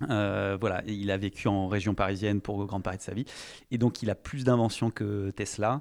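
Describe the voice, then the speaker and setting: The background stays quiet. Delivered at a moderate pace, the intonation is fairly even. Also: man, fairly low pitch for a man. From France, Charente (Cognac). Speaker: entrepreneur. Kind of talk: interview. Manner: hesitant, many fillers.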